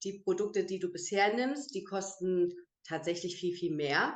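Using an ordinary speaking voice, a woman talks at a fairly slow pace and medium pitch, with ordinary pitch variation. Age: 30s. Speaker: beautician and network marketer. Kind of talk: online interview. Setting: video call.

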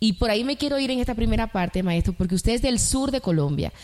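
A woman with a Dominican accent and lively intonation. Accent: Dominican Caribbean Spanish. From Dominican Republic.

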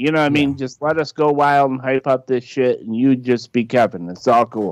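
The recording has a dry, close sound with no echo. A man speaks at a moderate pace in a normal speaking voice with medium pitch. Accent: American. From Michigan. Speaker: podcast co-guest. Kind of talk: casual chat.

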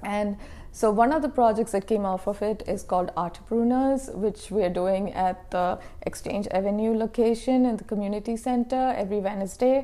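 A woman's voice, fairly high in pitch and dark and mellow in tone, moves with ordinary pitch variation. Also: moderate pace. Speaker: professor and researcher. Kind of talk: interview conversation.

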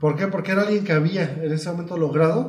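A speaker with a Mexican accent is heard over noticeable background noise and audible room echo. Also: man. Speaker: podcast co-host. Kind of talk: casual chat.

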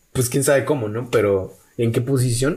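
Somewhat breathy, a man talks at a moderate pace with audible room echo. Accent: Mexican. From Mexico, outside Mexico City. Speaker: podcast co-host. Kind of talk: casual chat.

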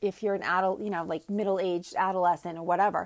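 A woman speaking at a medium pitch races through her words at a very fast pace. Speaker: health and life coach, solo podcaster. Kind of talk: casual monologue. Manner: many filler ums.

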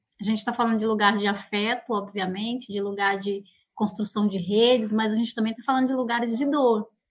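Intonation stays fairly even at a moderate pace. The voice has a somewhat breathy quality. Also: woman. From Bahia, Brazilian Northeast. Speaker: researcher. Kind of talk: casual chat. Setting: outdoors in the countryside.

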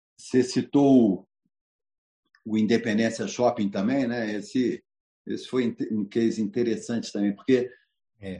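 Dark, mellow male voice at a fairly slow pace. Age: 60s. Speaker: businessman. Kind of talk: talk to an online audience.

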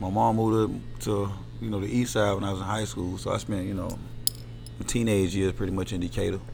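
The speech runs at a very fast pace with lively intonation and long, frequent pauses, while audible room echo fills the space. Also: man, fairly low pitch for a man. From US South, Atlanta, Georgia. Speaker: barber. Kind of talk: casual chat.

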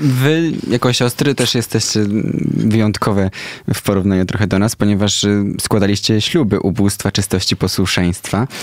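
Moderate in pace, this man has an unremarkable speaking voice, fairly low in pitch with ordinary pitch variation. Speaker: radio host. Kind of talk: casual interview chat. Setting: radio studio.

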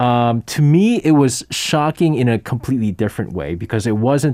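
A man with a New York accent, medium-pitched, dark and mellow in tone, with lively intonation at a moderate pace. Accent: New York American English. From US, New York. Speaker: radio host. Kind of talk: casual chat. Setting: studio.

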